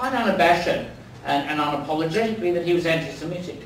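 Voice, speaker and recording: A man with an Australian accent and a high pitch speaks at a fairly quick pace with lively intonation, over noticeable background noise and audible room echo. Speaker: professor and activist. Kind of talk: after-dinner speech. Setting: dinner event with audience.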